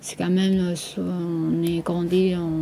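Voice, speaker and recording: Over noticeable background noise, a woman speaks fairly slowly at a fairly low pitch in a monotone, flat way. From Taiwan. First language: Taiwanese Hokkien, also Mandarin (speaking French). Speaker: boutique owner and artist. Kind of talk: radio interview portrait. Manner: halting, many hesitations and repetitions.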